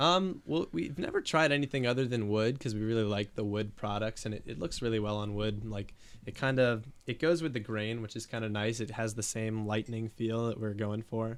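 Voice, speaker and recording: This man talks at a fairly quick pace, with ordinary pitch variation. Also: medium pitch for a man. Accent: eastern Pennsylvania. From eastern Pennsylvania, Bethlehem. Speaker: small business owner, woodworking artist. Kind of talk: podcast interview. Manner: hesitant, many fillers.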